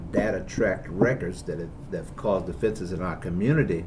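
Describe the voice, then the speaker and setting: A man talks at a fairly quick pace with ordinary pitch variation. Audible room echo and noticeable background noise come through. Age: 60s. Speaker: bishop. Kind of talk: interview.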